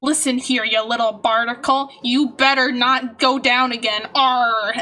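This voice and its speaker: A woman puts on a character voice pitched high. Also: moderate pace. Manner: bad, exaggerated impression.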